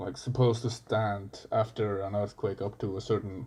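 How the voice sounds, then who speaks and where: Somewhat breathy and dark, mellow in tone, a man with a fairly low pitch speaks at a moderate pace with fairly even intonation. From Iceland. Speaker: coffee barista. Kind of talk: casual chat.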